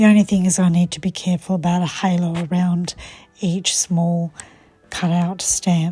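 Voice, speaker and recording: A woman speaks at a moderate pace in a fairly low, somewhat breathy voice. Her tone is dark and mellow, and her intonation is monotone and flat. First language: Croatian. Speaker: papercraft demonstrator. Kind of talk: tutorial.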